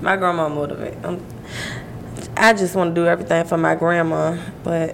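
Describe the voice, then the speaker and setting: Over noticeable background noise, a woman talks at a very fast pace with a fairly low pitch and ordinary pitch variation. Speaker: podcast co-host. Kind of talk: casual chat. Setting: livestream.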